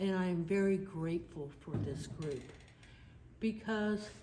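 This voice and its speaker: With an American accent, a woman talks at a moderate pace and medium pitch, her pitch varying in an ordinary way, with noticeable background noise and audible room echo. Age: 70s. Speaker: army veteran and video documentarian. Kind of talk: testimony. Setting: studio.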